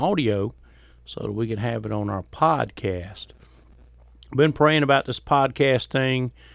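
Using lively intonation, a man with a Mississippi accent speaks at medium pitch. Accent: Southern US (Mississippi). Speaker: podcast host and Baptist preacher. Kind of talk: casual monologue. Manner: folksy, halting with fillers.

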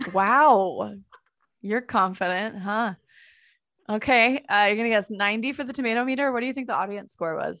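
A woman speaks at a moderate pace with a fairly high pitch, a bright, sharp tone and ordinary pitch variation. Her long, frequent pauses sit over a quiet background. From San Francisco Bay Area, California. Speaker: podcast co-host. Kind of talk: casual chat.

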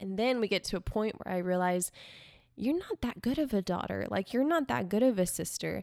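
In a plain, everyday voice, a woman talks at a fairly quick pace with a medium pitch and lively intonation on a very clean recording with a silent background. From South Texas, Corpus Christi. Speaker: dancer and social media influencer. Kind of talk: casual interview. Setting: living room.

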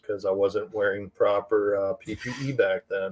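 Recorded with a dry, close sound and no echo, a man with an unremarkable speaking voice and an American accent talks at a moderate pace with fairly even intonation. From New York City. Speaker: cannabis extractor and grower. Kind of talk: casual interview chat.

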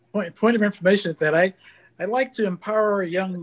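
The sound is dry and close with no echo as a man talks with an American accent. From California. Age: 80s+. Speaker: retired aerospace engineer. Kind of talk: panel discussion. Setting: video call.

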